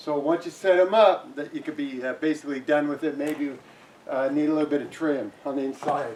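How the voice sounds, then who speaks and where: Over noticeable background noise, a man speaks at a fairly quick pace. His pitch is fairly high and his intonation fairly even. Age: 60s. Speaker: inventor and builder demonstrating his shed design. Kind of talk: tutorial. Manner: casual, with filler words.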